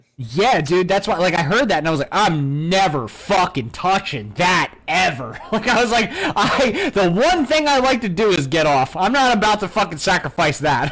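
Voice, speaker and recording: High-pitched and swinging very widely in pitch, a man talks at a moderate pace with hardly any pauses. His loudness stays very even over noticeable background noise. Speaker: podcast co-host, army veteran. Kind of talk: casual chat. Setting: live stream.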